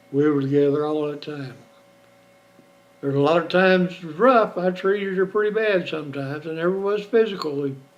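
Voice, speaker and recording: Talking at a fairly quick pace yet with long, frequent pauses, a man with an American accent and a fairly high pitch shows ordinary pitch variation and big swings in loudness over noticeable background noise. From Oklahoma. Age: 70s. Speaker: retiree recording family memoirs. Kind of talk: personal memoir monologue. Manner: conversational, reflective.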